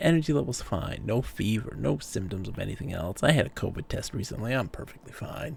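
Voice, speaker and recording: Calm in tone, a man with vocal fry talks at a fairly quick pace and a medium pitch, his pitch swinging very widely. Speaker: video game streamer. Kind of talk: live gameplay stream chat. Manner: calm, trying to talk less.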